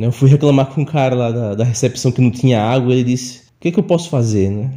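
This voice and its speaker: Lively intonation in a man's somewhat breathy voice of dark, mellow tone. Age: 30s. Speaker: listener sharing ghost stories. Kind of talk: personal storytelling. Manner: halting, many fillers.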